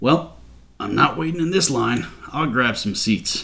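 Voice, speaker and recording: Doing a put-on character voice, a man mumbles in a gruff, raspy way at medium pitch and a moderate pace. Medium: read story. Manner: gruff, mumbling.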